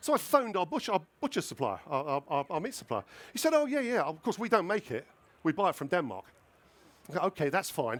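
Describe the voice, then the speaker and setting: Pitch swings very widely as the words come at a very fast pace. The sound is dry and close, with no echo. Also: man, high pitch for a man. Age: 60s. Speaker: food writer and restaurateur. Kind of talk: live cooking demonstration. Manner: animated.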